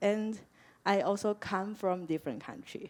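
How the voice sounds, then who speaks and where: A woman speaks at a medium pitch in a dark, mellow tone. The recording is very clean, with a silent background. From Malaysia. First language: Chinese. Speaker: university counselor. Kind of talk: orientation talk. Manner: halting.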